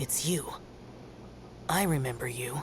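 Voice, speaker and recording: In a put-on character voice pitched low-to-middle, the speaker talks over clear background noise. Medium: video game. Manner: terse, formal.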